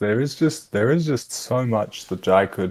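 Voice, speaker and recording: In a very clean recording with a silent background, a man with an Australian accent talks at a fairly slow pace with ordinary pitch variation. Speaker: esports commentator. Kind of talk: live commentary. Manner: casual.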